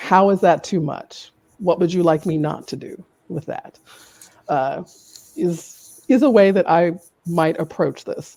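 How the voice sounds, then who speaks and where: In a dark, mellow tone, a woman with a fairly low pitch and ordinary pitch variation speaks fairly slowly, with long, frequent pauses and big swings in loudness. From US South, Louisiana. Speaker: communications executive. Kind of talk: panel interview.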